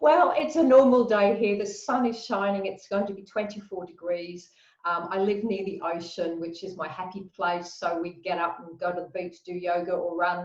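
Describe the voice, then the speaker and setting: A woman with an English accent talks at a moderate pace with hardly any pauses. Her loudness swings widely, while her pitch varies in an ordinary way. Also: medium pitch for a woman. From England. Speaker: mindset coach. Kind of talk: video interview.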